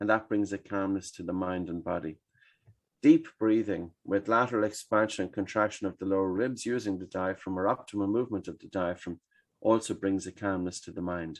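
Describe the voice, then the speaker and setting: Against a quiet background, a man with an Irish accent speaks at a fairly quick pace and fairly low pitch, with ordinary pitch variation and big swings in loudness. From Ireland. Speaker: breathing expert. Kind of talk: podcast interview answer.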